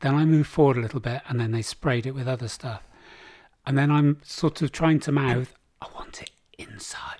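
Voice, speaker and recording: A man with an English accent, medium pitch, a fairly quick pace, fairly even intonation and big swings in loudness. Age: 60s. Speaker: podcast co-host. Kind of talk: casual chat.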